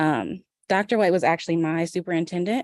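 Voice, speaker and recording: With an American accent, a woman talks at a very fast pace and a fairly low pitch, with ordinary pitch variation, in a dry, close sound with no echo. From US Midwest, Indianapolis. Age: 30s. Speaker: public commenter, mental health therapist. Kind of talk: public comment at a board meeting. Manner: soft-spoken.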